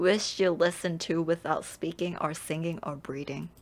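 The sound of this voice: A woman speaks slowly, with a fairly low pitch. Her pitch varies in an ordinary way.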